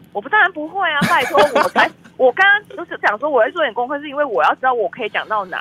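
A woman with a high pitch and an animated tone speaks at a very fast pace in a raised, projected voice, with very wide pitch swings and big swings in loudness, the sound dry and close with no echo but with noticeable background noise. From Malaysia. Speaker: film publicist. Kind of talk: casual interview. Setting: remote online call. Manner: lively, animated.

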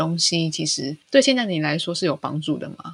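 A woman speaks at a moderate pace in a fairly low pitch. Her voice has vocal fry. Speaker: podcast co-host, mother. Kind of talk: casual chat.

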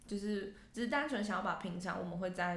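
A woman with a somewhat breathy voice speaks at a moderate pace with ordinary pitch variation. Audible room echo surrounds her voice. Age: 20s. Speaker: podcast co-host. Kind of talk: casual chat. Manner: animated.

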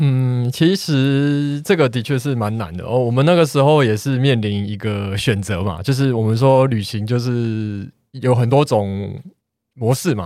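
On a very clean recording with a silent background, a man speaks in an unremarkable speaking voice at a medium pitch and fairly slow pace, with ordinary pitch variation. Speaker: architect, podcast guest. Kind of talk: casual chat.

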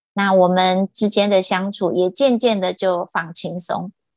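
A woman is speaking at medium pitch. She has an ordinary speaking voice. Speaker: guest sharing life story. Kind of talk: testimony read from written notes.

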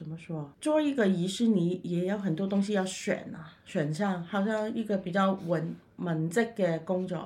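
Speaking at a fairly slow pace with hardly any pauses, the voice carries a Cantonese accent and ordinary pitch variation. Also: woman, medium pitch for a woman. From Macau. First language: Cantonese (speaking Chinese). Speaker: funeral director and paranormal YouTuber. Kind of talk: interview.

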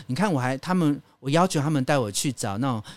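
A man speaks very fast at a medium pitch, recorded very cleanly against a silent background. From Taiwan, Hakka community. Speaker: radio host and travel writer. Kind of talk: casual chat.

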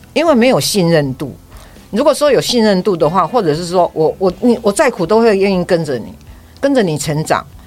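A woman at a medium pitch speaks at a fairly quick pace with very wide pitch swings. There is noticeable background noise. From Taiwan. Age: 60s. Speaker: pilgrimage walker. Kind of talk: interview.

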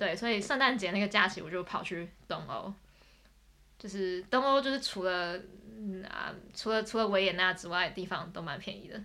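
A woman's bright, sharp tone sits at medium pitch with ordinary pitch variation at a moderate pace. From Taipei, Taiwan. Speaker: exchange student. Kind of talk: casual chat.

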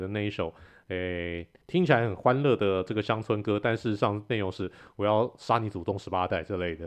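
This man has a normal speaking voice, with fairly low pitch and ordinary pitch variation. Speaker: podcast host. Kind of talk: casual chat.

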